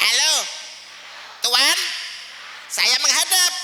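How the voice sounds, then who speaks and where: A shrill, high-pitched put-on character voice is heard. There is clear background noise and a slight echo. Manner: mimicking a duck-like squawk.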